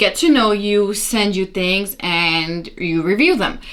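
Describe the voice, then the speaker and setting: A loud woman's voice at medium pitch, bright and sharp in tone. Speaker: beauty youtuber. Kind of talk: tutorial. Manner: casual chatty.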